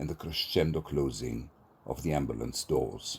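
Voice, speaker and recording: A man speaks with vocal fry. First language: Hebrew. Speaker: poet and theatre professor. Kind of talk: poetry reading.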